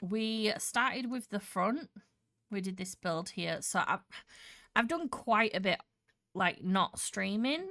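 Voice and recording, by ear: Lively intonation and a bright, sharp tone come through at a slow pace. The recording is very clean, with a silent background. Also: woman, medium pitch for a woman.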